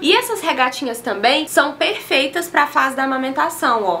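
A woman speaks in a raised, projected voice at a moderate pace over light background noise. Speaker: fashion vlogger. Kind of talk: casual haul vlog chat. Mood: cheerful, enthusiastic. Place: home room.

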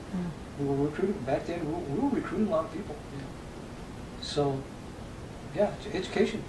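A high-pitched man with an American accent, fairly quick and lively in intonation, with long, frequent pauses amid noticeable background noise. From San Luis Valley, Colorado. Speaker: retired software engineer and musician. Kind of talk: oral history interview answer. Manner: hesitant, repetitive. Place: home room.

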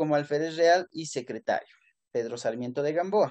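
Lively intonation marks a man's speech. He keeps a moderate pace. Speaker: history teacher. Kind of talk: lecture. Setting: classroom. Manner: halting.

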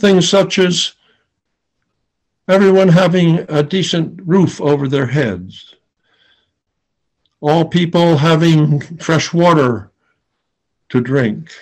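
With an American accent, the speaker goes at a very slow pace with long, frequent pauses. Loudness stays very even, pitch varies in an ordinary way, and the background is quiet. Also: man, fairly high pitch for a man. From Philadelphia area, USA; Pennsylvania. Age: 80s+. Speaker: Quaker peace activist and war tax resister. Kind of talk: personal memoir talk to an audience. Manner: slow, measured, with hesitations. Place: home room. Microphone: webcam.

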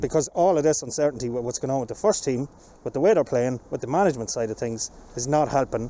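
Over light background noise, a man talks at a very fast pace, the sound dry with no echo. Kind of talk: interview answer. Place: street. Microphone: handheld.

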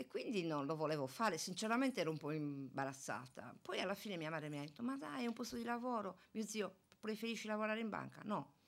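A woman at a very fast pace, her pitch swinging very widely. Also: medium pitch for a woman. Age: 60s. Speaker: retiring municipal police officer; radio guest. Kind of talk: interview. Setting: studio. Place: studio. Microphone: studio mic.

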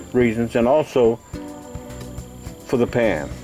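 Faint music plays in the background as a man speaks at a fairly slow pace. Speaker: home repair video host. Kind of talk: tutorial. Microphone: phone near.

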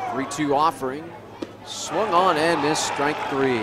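Against loud background noise, a man with a fairly high pitch speaks at a fairly slow pace, the sound dry with no echo. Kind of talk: live sports commentary. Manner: self-correcting, slightly stumbling. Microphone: headset.

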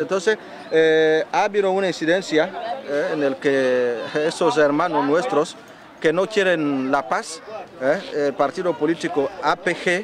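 Against noticeable background noise, a man with a fairly high pitch speaks at a fairly slow pace with very even loudness. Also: ordinary pitch variation, dry sound with no echo. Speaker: journalist. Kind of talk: news field report. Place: street.

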